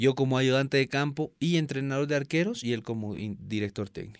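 On a very clean recording with a silent background, a man with an unremarkable speaking voice talks at a medium pitch and moderate pace, with ordinary pitch variation. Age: 30s. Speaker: former goalkeeper and goalkeeping coach. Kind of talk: interview.

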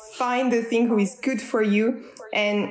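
A woman with a French accent talks at a fairly high pitch in a flat, monotone way over noticeable background noise. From France, Strasbourg (east). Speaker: naturopath. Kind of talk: interview. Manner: halting.

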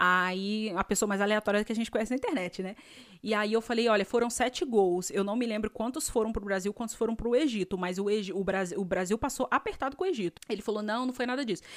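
Very fast and animated, a woman talks at a fairly high pitch with ordinary pitch variation. The recording is very clean, with a silent background. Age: 30s. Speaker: podcast host and dentist. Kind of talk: casual storytelling monologue.

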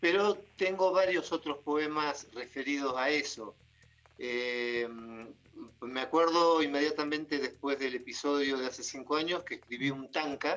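With music in the background, a man with an Argentine accent talks at a fairly slow pace in a fairly high pitch with ordinary pitch variation. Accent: Rioplatense Argentine Spanish. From Argentina, Buenos Aires province (Bordenave, Mar del Plata). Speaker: psychologist and poet. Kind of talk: interview.

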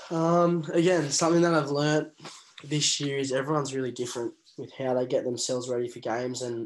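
The voice has an Australian accent. Its intonation is monotone and flat. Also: man. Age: 20s. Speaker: professional rugby player. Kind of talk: interview.

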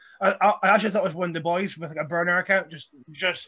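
A man speaks very fast in a Scottish accent. His voice is high-pitched, with a bright, sharp tone. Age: 30s. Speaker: professional wrestler. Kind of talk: casual chat.

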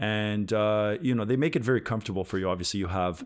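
On a very clean recording with a silent background, a man with an ordinary speaking voice talks at a fairly quick pace and fairly low pitch, with fairly even intonation. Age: 30s. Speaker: death metal guitarist and investor. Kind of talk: podcast interview. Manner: says uh and um a lot.

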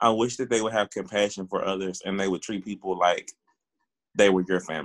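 This is an ordinary speaking voice from a man with an American accent, pitched fairly low with fairly even intonation. The sound is dry and close, with no echo. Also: fairly quick pace. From Texas, Waco. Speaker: police officer. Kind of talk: interview.

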